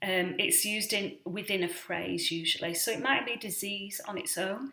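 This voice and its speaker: With a British accent, a woman speaks at a medium pitch with ordinary pitch variation. Her tone is bright and sharp. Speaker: vlogger on rare disease. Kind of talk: casual explainer vlog. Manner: hesitant, many fillers.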